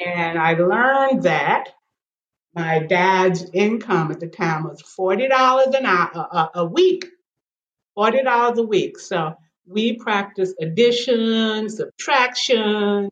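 A woman speaks at medium pitch and a very slow pace. Her intonation is lively. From Kentucky, near Louisville. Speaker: retired educator. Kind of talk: interview.

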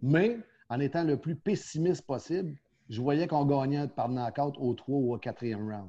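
A man with a somewhat breathy, fairly high-pitched voice and ordinary pitch variation speaks over a quiet background. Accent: Quebec. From Quebec, Quebec City. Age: 50s. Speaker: professional boxing coach. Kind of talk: casual interview.

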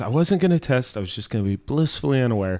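A man with a medium-pitched voice swings very widely up and down in pitch. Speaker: podcast co-host. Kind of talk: casual chat.

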